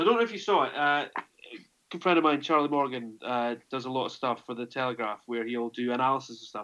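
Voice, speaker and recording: In a Scottish accent, a man speaks at a fairly quick pace in a medium pitch. The recording is very clean, with a silent background. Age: 30s. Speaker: rugby journalist. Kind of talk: casual chat.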